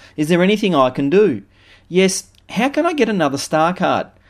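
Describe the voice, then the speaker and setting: With an Australian accent, a man talks at a fairly quick pace, his pitch swinging very widely, on a very clean recording with a silent background. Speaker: business consultant. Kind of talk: scripted narration.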